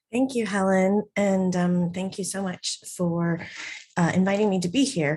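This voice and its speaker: A somewhat breathy, dark and mellow voice with an American accent, fairly slow, with ordinary pitch variation. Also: woman, medium pitch for a woman. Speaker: charity executive director. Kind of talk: presentation.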